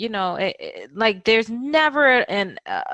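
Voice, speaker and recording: A woman with a bright, sharp tone speaks at a fairly slow pace against a quiet background. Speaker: podcast host. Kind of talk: conversational interview talk.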